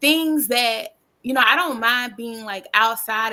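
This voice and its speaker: A woman with a Southern US accent, fairly high in pitch, with a bright, sharp tone, ordinary pitch variation and a fairly slow pace, on a very clean recording with a silent background. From US South. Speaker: podcast guest. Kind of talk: casual chat.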